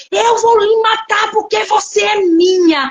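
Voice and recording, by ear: In a put-on character voice, the speaker delivers lines at a fairly slow pace with a furious, menacing tone. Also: woman, extremely high pitch for a woman.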